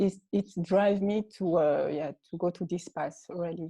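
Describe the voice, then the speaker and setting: Fairly low in pitch and dark, mellow in tone, a woman speaks at a fairly slow pace with fairly even intonation, in a dry, close sound with no echo. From Mali and Senegal. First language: French. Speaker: art entrepreneur. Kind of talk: interview. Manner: halting, many hesitations.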